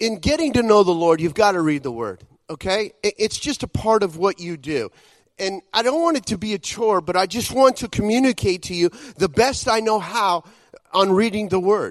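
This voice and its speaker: A man's high, lively voice at a moderate pace in a dry, close sound with no echo. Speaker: visiting preacher. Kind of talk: sermon.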